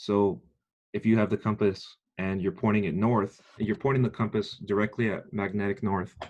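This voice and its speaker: A normal speaking voice from a man, fairly low in pitch, moderately paced and fairly even in intonation, over a quiet background. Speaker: military training instructor. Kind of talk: lecture.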